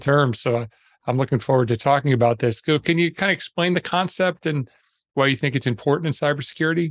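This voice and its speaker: A man with a plain, everyday voice, fairly high pitch, lively intonation and a fairly quick pace, in a dry, close sound with no echo. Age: 50s. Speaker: podcast host. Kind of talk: interview.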